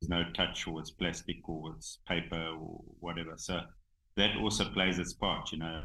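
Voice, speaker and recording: In a South African accent, a man with a very deep, low pitch speaks at a fairly slow pace. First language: Xhosa. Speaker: rhino conservationist, game reserve owner. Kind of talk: casual interview. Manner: halting, many fillers.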